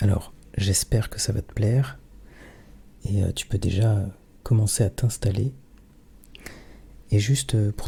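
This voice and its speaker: Soft-spoken and somewhat breathy, a man speaks at a fairly slow pace in a dark, mellow tone with ordinary pitch variation. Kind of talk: casual talk to camera.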